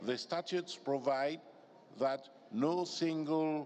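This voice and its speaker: A man's voice with ordinary pitch variation. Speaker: parliamentary union secretary general. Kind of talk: formal procedural explanation. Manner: loud; formal.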